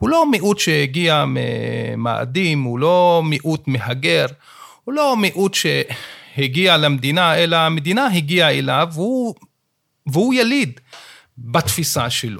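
On a very clean recording with a silent background, a man with a fairly high pitch and lively intonation speaks at a very slow pace with long, frequent pauses. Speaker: law professor. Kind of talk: interview discussion.

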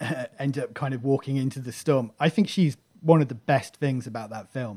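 Speaking at a moderate pace with a British accent, a man has a medium pitch, a dark, mellow tone and fairly even intonation. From UK. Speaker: podcaster. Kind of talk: casual chat.

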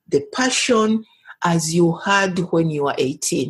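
Very slow and somewhat breathy, a woman speaks at a medium pitch with lively intonation. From Uganda. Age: 60s. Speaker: women's human rights activist. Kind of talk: interview.

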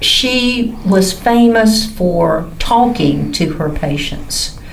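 With a Southern US accent, a woman speaks using ordinary pitch variation. Noticeable background noise sits behind her. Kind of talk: casual chat.

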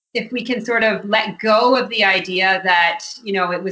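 Speaking in a Canadian accent at a moderate pace, a woman talks over noticeable background noise. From Ontario, Georgian Bay area. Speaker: novelist. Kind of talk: interview.

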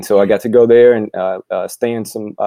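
A man with a dark, mellow tone and medium pitch speaks with fairly even intonation, the sound dry and close with no echo. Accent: American. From Gary, Indiana (US Midwest). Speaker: business coach and author. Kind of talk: casual interview. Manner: halting, many fillers.

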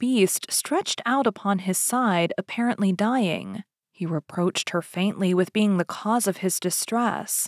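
Against a quiet background, the voice is plain reading aloud with ordinary pitch variation.

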